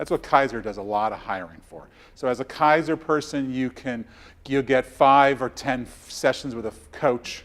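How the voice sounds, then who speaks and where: The man's pitch rises and falls in an ordinary way. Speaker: health coach and speaker. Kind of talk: presentation to coaches. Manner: fast; animated.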